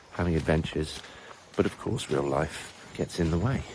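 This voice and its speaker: With noticeable background noise, a man speaks at a moderate pace in a very deep, low pitch, with ordinary pitch variation. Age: 40s. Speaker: language teacher. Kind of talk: casual vlog monologue.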